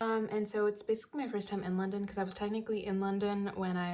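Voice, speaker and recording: This voice has an American accent. The pace is very fast. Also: woman. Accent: American accent, noticeable to locals. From United States. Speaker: student vlogger. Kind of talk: casual vlog talk to camera. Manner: casual, filler-heavy.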